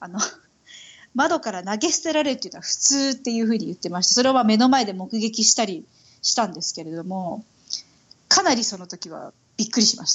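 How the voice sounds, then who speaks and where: A somewhat breathy woman talks at a fairly quick pace. Her loudness swings widely. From Tokyo, Japan (Itabashi ward). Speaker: Japanese expat mother. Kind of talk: casual interview chat.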